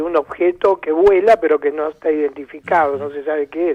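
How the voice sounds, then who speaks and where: Dry and close with no echo, a man's dark, mellow voice moves at a moderate pace with ordinary pitch variation. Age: 70s. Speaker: ufology researcher and author. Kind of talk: radio interview.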